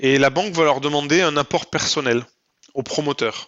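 A man with a fairly high voice keeps a moderate pace, his pitch varying in an ordinary way. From southwest France (Lot). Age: 30s. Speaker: entrepreneur. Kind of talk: interview. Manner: hesitant with fillers.

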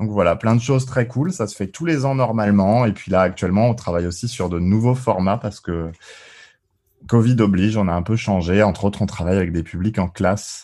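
This is a man with a normal speaking voice, fairly low in pitch, with ordinary pitch variation. He talks at a fairly quick pace in a very clean recording with a silent background. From Alsace, France. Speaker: gamification consultant, engineer. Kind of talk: podcast interview.

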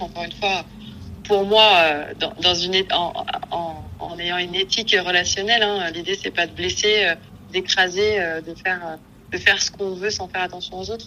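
The woman's voice is at a medium pitch with a monotone, flat intonation. Noticeable background noise is present. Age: 30s. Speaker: psycho-corporal therapist. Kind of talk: casual interview.

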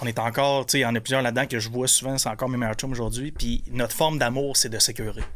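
This man talks very fast with hardly any pauses, at a medium pitch and in a flat, monotone way. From Quebec, Gaspésie (Percé). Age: 30s. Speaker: entrepreneur. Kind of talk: casual chat.

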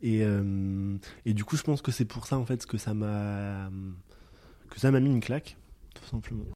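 A fairly low-pitched man with a dark, mellow tone, ordinary pitch variation, big swings in loudness, long, frequent pauses and a fairly slow pace, on a very clean recording with a silent background. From rural France. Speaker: sociologist. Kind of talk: interview. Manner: halting.

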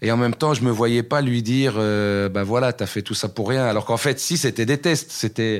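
A man speaks in an unremarkable speaking voice at medium pitch. The recording is very clean, with a silent background. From Belgium, Brussels area (Waterloo). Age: 40s. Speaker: rapper and comedian. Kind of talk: casual interview.

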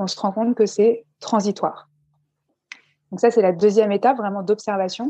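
A woman's medium-pitched voice with a dark, mellow tone, dry and close with no echo, at a moderate pace with long, frequent pauses, big swings in loudness and fairly even intonation. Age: 30s. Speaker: stress management coach. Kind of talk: interview.

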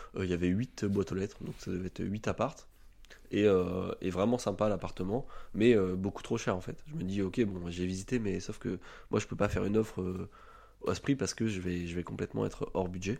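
Very deep, low male voice with ordinary pitch variation. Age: 20s. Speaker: real estate investor. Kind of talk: podcast interview.

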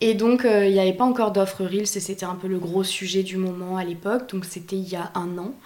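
Monotone, flat intonation from a woman at a medium pitch, her tone dark and mellow. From France, Bordeaux region. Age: 20s. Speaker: freelance video editor and content creator. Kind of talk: casual chat.

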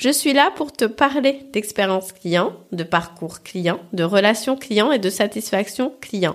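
In a very clean recording with a silent background, a cheerful woman speaks very slowly at a fairly high pitch with lively intonation. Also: hardly any pauses. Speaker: podcast host, customer experience consultant. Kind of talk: solo podcast monologue. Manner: cheerful, laughs often.

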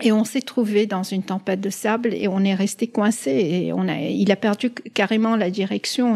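A woman speaks with a medium pitch and a dark, mellow tone. Her intonation is fairly even, her pace moderate, with hardly any pauses. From Lebanon and the Middle East, Italian family. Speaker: pharmaceutical executive. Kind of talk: interview storytelling. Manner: hesitant, frequent fillers and repetitions.

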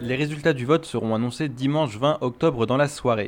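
Fairly quick, fairly even speech in an unremarkable speaking voice. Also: man. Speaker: radio reporter. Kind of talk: news reporting.

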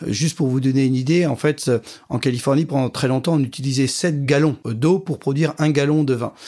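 On a very clean recording with a silent background, a man speaks fairly quickly at a fairly high pitch, his dark, mellow voice fairly even in intonation and very even in loudness. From France, Champagne. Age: 40s. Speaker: wine industry executive. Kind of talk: interview. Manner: hesitant, many fillers.

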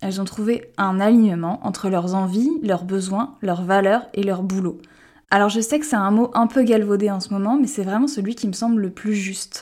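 A woman with an ordinary speaking voice at medium pitch and ordinary pitch variation is heard in a very clean recording with a silent background. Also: moderate pace. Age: 30s. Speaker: podcast host and art director. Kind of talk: scripted podcast introduction.

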